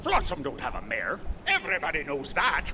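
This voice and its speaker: Someone in a put-on character voice talks fairly quickly over clear background noise. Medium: video game. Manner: gruff pirate growl.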